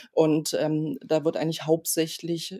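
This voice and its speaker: A woman speaks at a moderate pace in a fairly low voice with a dark, mellow tone. The sound is dry and close with no echo. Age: 40s. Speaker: trauma surgeon. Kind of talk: interview.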